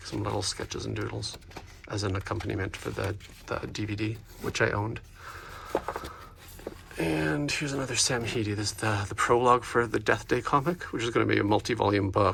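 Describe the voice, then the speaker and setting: Over noticeable background noise, a man talks at a fairly quick pace with ordinary pitch variation and long, frequent pauses. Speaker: comic and art book collector. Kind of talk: casual talk to camera. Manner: hesitant, filler-heavy.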